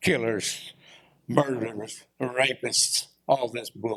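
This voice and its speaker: A medium-pitched man with a Texan accent, at a fairly slow pace. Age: 70s. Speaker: former small-town mayor, public commenter. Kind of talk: public comment at city council. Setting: city council chamber. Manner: animated.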